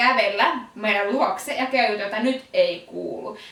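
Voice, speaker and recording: Loud and high-pitched, a woman speaks with ordinary pitch variation amid noticeable background noise and audible room echo. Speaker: podcast co-host, event announcer. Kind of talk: casual chat. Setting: studio.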